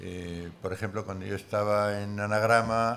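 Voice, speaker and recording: A man's fairly low voice at a very slow pace, in monotone, flat intonation. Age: 80s+. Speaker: book editor and author. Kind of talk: panel discussion. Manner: halting.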